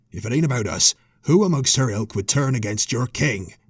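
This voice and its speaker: A man puts on a raspy, gruff character voice with a growl. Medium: read story. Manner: gruff, threatening.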